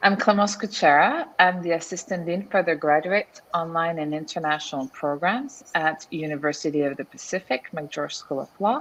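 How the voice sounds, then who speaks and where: With a French accent and lively intonation, a woman speaks at a fairly low pitch against noticeable background noise. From France. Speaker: law school dean. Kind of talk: virtual panel discussion. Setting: virtual event.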